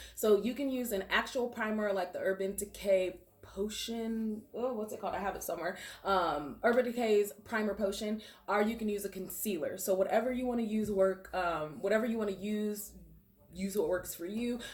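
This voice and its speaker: Noticeable background noise is present. Through it, a woman talks at a medium pitch. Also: ordinary pitch variation. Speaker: makeup artist. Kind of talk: tutorial. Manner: fast; casual, filler-heavy.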